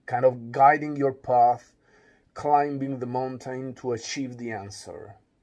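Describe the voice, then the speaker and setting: A man with an Italian accent at a fairly slow pace, monotone and flat in intonation, with big swings in loudness on a very clean recording against a silent background. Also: medium pitch for a man. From Italy. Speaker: philosopher. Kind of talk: radio interview. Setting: studio.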